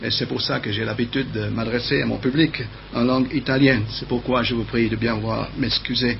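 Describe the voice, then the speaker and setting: Audible echo from the room plus noticeable noise in the background. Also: man, moderate pace. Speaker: preacher. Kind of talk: sermon. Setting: TV studio. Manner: halting.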